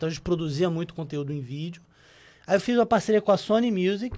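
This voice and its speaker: The man's voice is high in pitch. Its rise and fall is ordinary. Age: 40s. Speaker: digital audio advertising executive. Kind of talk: podcast interview. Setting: studio.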